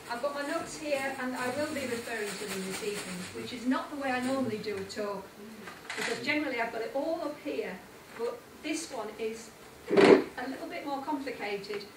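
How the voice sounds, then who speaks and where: With audible room echo and noticeable background noise, a woman speaks at a fairly quick pace. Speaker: speaker. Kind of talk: lecture. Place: hall. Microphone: camera far.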